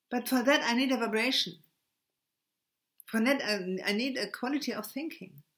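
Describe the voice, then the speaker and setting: Spoken with a German accent at a moderate pace, the voice has ordinary pitch variation and long, frequent pauses. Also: woman, high pitch for a woman. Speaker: spiritual video blogger. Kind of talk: spiritual monologue. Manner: halting, stammering; many hesitations and repetitions.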